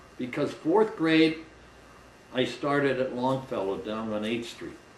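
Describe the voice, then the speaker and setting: Lively intonation comes through at a moderate pace over noticeable background noise. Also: man. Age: 70s. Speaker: interviewee recalling his childhood. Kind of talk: interview answer.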